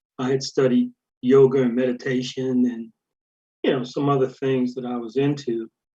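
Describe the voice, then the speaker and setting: A man talks at a medium pitch and a moderate pace. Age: 60s. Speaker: caller. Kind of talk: casual chat.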